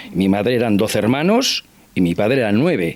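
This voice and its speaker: Over noticeable background noise, a man speaks at a fairly slow pace in a fairly low pitch, with very wide pitch swings. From Basque Country (Irun area). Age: 60s. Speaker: interview guest. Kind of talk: TV interview. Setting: at his home.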